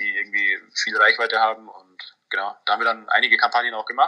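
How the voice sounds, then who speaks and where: A man talks at a fairly quick pace. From Munich, Bavaria. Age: 20s. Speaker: startup founder. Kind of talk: interview.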